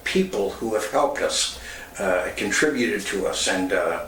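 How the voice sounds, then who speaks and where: A man's voice comes through audible room echo with noticeable background noise behind it. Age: 70s. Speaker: former radio personality and youth center founder. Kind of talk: personal testimony.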